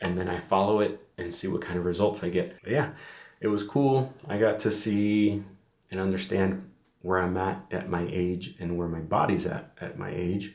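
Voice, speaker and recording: Audible room echo carries a man's very deep, low pitch at a moderate pace. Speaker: fitness vlogger. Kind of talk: casual vlog monologue. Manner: monotone; rambling, filler-heavy.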